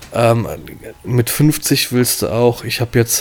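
A man talks at a medium pitch. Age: 30s. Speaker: wedding photographer. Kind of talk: casual chat.

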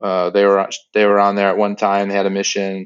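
A man with a plain, everyday voice, fairly low in pitch, at a fairly quick pace. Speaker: website creator and Disney travel enthusiast. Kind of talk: casual chat, podcast interview.

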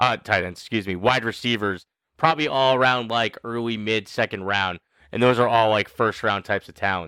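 A man with a bright, sharp tone speaks at a fairly quick pace with ordinary pitch variation. The recording is very clean, with a silent background. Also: medium pitch for a man. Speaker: fantasy football podcast host. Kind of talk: casual banter podcast.

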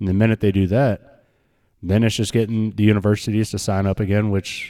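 On a very clean recording with a silent background, a man with a fairly low pitch speaks at a very fast pace with monotone, flat intonation. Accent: American. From Nebraska, high school in Arizona. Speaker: college football podcast co-host. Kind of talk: casual chat.

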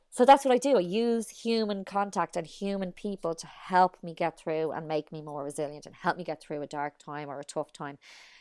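In an Irish accent, the speech comes at a fairly quick pace with lively intonation and big swings in loudness. The recording is very clean with a silent background, and the sound is dry and close with no echo. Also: woman, fairly low pitch for a woman, hardly any pauses. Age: 30s. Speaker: mother and social media personality. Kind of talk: casual chat.

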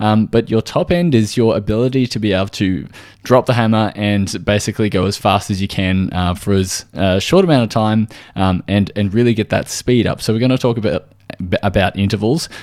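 A man speaks at a fairly quick pace with an Australian accent and ordinary pitch variation. The recording is very clean, with a silent background. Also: fairly low pitch for a man. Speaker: podcast host and nutritional therapist. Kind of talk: solo educational talk. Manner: casual with frequent fillers.

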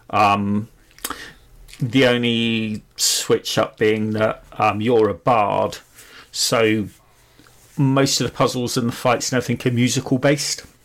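Speaking with a British accent, a man holds a medium pitch, fairly even intonation and very even loudness at a fairly slow pace with long, frequent pauses. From United Kingdom. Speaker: gaming podcast co-host. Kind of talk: casual chat.

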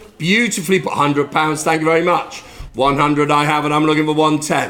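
A man's voice against noticeable background noise. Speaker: auctioneer and podcast host. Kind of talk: charity auction, live bidding patter. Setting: lifeboat station, live auction with audience. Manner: jovial, chatty.

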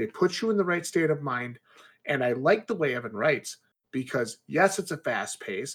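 An ordinary speaking voice belongs to a man who talks with lively intonation. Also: fairly high pitch for a man, moderate pace. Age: 30s. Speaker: indie author. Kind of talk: casual chat.

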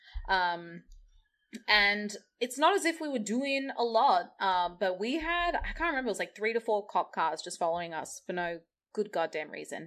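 A woman with an Australian accent speaks at a moderate pace, her pitch sitting in the medium range. Her voice swings very widely up and down. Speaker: DJ and party organizer. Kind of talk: casual interview chat.

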